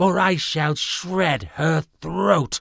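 The voice is a raspy, put-on character voice. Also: man. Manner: threatening.

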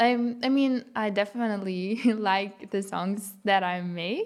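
The speech carries a Lithuanian accent and ordinary pitch variation. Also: woman. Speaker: pop singer-songwriter. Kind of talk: casual interview.

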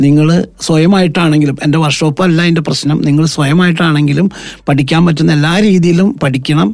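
A man speaks in an ordinary speaking voice, fairly high-pitched, with very even loudness and fairly even intonation. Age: 50s. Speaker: accounting firm managing director. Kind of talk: radio interview.

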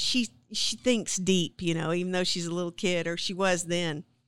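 A woman speaks in a normal speaking voice with an American accent, at medium pitch and a moderate pace. The sound is dry and close, with no echo. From South Texas. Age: 40s. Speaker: podcast co-host. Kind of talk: casual chat.

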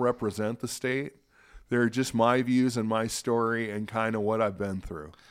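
In an ordinary speaking voice with an American accent, a man talks at a moderate pace and medium pitch with fairly even intonation, on a very clean recording with a silent background. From US Pacific Northwest, Spokane, Washington. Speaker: peer support specialist. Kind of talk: casual interview.

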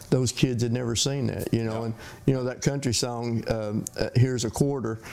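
A man talks at a fairly quick pace in an East Tennessee accent. His intonation stays flat and monotone over noticeable background noise. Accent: US Southern (East Tennessee). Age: 60s. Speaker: hot rod shop owner. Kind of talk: casual interview. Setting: on location in a workshop. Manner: halting, with many repeated words.

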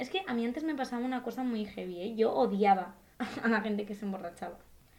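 Over noticeable background noise, a woman talks at a very fast pace. Her pitch is fairly high. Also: lively intonation. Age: 20s. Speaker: actress. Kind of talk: casual chat.

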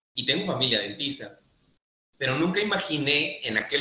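A man with a normal speaking voice, a fairly quick pace and ordinary pitch variation. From southern Mexico, Oaxaca coast (Pochutla). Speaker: endodontist. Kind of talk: casual interview.

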